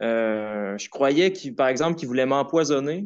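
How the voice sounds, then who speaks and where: Fairly high male speech with ordinary pitch variation. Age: 20s. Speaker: caller, artist; caller. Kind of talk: personal testimony on call-in show. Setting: phone call. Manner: halting. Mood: hesitant, reflective. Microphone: phone line.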